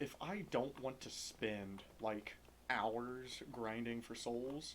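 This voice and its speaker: A man speaks at a very slow pace. His medium-pitched voice shows ordinary pitch variation. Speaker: gaming youtuber. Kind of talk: gameplay commentary.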